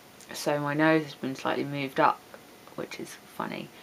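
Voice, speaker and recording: A woman speaks with an English accent. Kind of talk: casual vlog talk to webcam.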